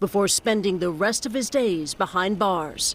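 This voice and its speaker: A woman with an ordinary speaking voice talks at a moderate pace, her medium pitch moving with ordinary variation. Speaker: TV news correspondent. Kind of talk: TV news field report. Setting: outdoors.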